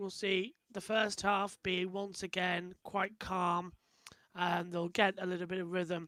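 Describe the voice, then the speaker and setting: A man's high-pitched, raised and projected voice, bright and sharp in tone, at a fairly slow pace, with a dry, close sound and no echo. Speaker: motorsport commentator. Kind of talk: live race watch-along commentary.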